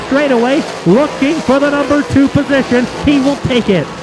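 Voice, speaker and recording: Fairly slow talking with noticeable noise behind it. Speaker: race announcer. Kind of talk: live race commentary.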